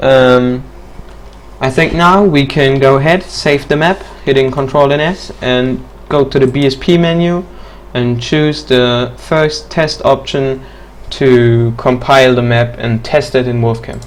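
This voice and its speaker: Noticeable background noise sits behind a man speaking at a fairly slow pace, with medium pitch and ordinary pitch variation. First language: not English. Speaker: mapping tutorial maker. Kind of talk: tutorial. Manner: hesitant, many fillers.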